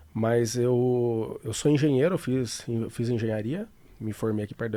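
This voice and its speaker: A man with a dark, mellow tone talks fairly quickly at medium pitch with ordinary pitch variation, in a very clean recording with a silent background. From Brazil, São Paulo city. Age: 40s. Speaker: financial trader. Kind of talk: interview. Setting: studio.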